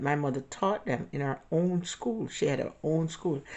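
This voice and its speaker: In a very deep, low voice, a woman speaks with ordinary pitch variation. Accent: strong Jamaican. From Jamaica. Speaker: vlogger. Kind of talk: personal storytelling. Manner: halting.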